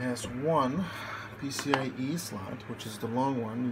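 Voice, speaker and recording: Noticeable background noise behind a male speaker. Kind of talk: casual tutorial. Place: home room. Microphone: phone near.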